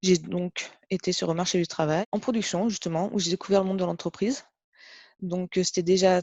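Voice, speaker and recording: A dark, mellow tone at a moderate pace, dry and close with no echo, over a quiet background. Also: woman. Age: 40s. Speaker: test technician. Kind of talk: interview testimony. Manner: hesitant, many fillers.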